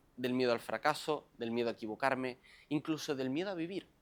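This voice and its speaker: At a moderate pace, a man talks in an ordinary speaking voice with ordinary pitch variation, on a very clean recording with a silent background. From Canary Islands, Lanzarote. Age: 20s. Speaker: self-help coach. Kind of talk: motivational monologue.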